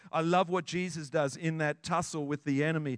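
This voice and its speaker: A man speaks at a fairly high pitch and a moderate pace, his tone animated. The sound is dry and close, with no echo. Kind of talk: sermon, preacher in full flow. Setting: church with congregation. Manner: animated, fervent, declaring with rising intensity.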